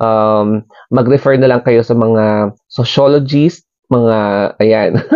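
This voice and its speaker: Speaking at a very slow pace, a man keeps his loudness very even and his intonation fairly even at a medium pitch. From Philippines, Cordillera (Baguio, Benguet). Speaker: vlogger. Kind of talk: casual explainer vlog. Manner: hesitant, many fillers.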